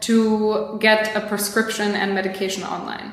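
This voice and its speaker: Woman with a fairly high pitch and a Polish accent. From Poland. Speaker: product manager. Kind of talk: interview.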